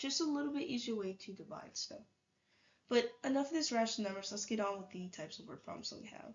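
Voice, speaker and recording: A woman with a fairly high pitch and a somewhat breathy voice talks very fast, her intonation lively and her loudness swinging widely. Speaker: math tutor. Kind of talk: tutorial. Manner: casual.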